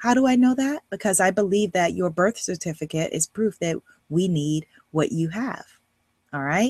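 Somewhat breathy and animated, a woman speaks at a moderate pace with lively intonation. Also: medium pitch for a woman. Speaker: life coach. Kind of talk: online course lecture.

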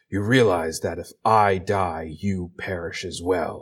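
Putting on a character voice, a man speaks very deep and low at a fairly slow pace. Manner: menacing, eerie.

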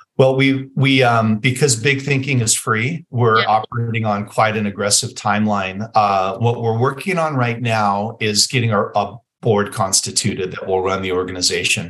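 A man with an American accent uses an ordinary speaking voice at a medium pitch, with a moderate pace, ordinary pitch variation, and hardly any pauses. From Las Vegas, Nevada, US. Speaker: chiropractor and clinic owner. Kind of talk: interview.

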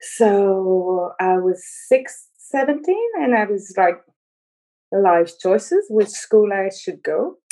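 Very slow speech from a woman with a medium pitch, a dark, mellow tone and ordinary pitch variation. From Montreal, Quebec. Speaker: trapeze artist and aerial choreographer. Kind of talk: interview.

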